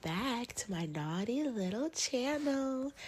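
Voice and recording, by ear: The voice moves slowly with lively intonation and a slightly mellow tone. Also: woman.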